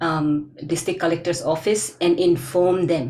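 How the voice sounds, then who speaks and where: With audible room echo, a woman speaks in a fairly low voice with an Arunachal Pradesh accent at a fairly slow pace. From Northeast India (Arunachal, Milang village). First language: Adi. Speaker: linguist, community researcher. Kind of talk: Q&A after lecture. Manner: halting.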